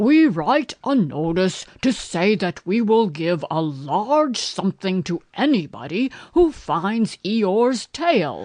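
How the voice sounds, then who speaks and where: A female-sounding voice at middle pitch puts on a pompous character voice. It moves at a fairly slow pace against a quiet background. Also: hardly any pauses. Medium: read story. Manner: pompous, long-winded.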